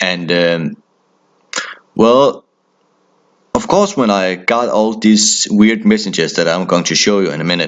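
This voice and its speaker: The voice moves at a fairly slow pace with ordinary pitch variation. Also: man. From Denmark. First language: Danish. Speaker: horror storyteller. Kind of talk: casual storytelling. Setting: phone call with brother.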